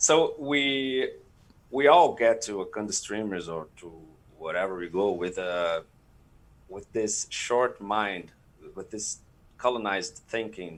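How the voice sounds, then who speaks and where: On a very clean recording with a silent background, a man with a Portuguese accent speaks at a fairly low pitch and a fairly slow pace, with lively intonation, big swings in loudness and long, frequent pauses. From Brazil. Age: 30s. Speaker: streaming community leader. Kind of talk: panel interview. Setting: live stream. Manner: halting.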